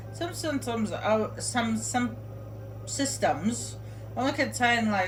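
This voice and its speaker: A woman is speaking with music in the background. Audible echo fills the room. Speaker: video game streamer. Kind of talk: gameplay tutorial commentary. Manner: loud; casual, halting with fillers.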